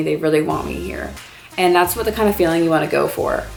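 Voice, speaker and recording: A woman is speaking with audible room echo. Music plays in the background. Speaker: college student vlogger. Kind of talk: casual advice vlog. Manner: fast; animated.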